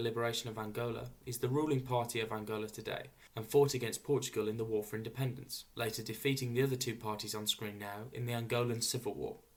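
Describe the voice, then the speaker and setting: A man with a somewhat breathy, medium-pitched voice talks at a very fast pace in a monotone, flat intonation. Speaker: flag history presenter. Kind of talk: educational narration.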